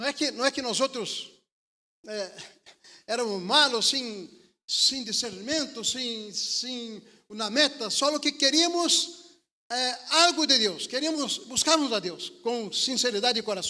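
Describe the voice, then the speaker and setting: A man with an extremely high pitch uses a raised, projected voice with a bright, sharp tone and lively intonation, speaking at a fairly slow pace with long, frequent pauses. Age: 60s. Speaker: preacher, missionary. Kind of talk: sermon. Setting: church service, livestream. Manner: halting, repeats words.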